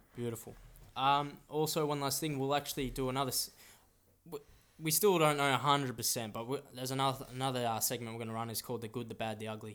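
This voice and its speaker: A man speaks with an Australian accent at a medium pitch. His pace is very fast. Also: fairly even intonation. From Australia, Melbourne. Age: 20s. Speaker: podcast co-host, football shirt collector. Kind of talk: casual chat. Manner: halting.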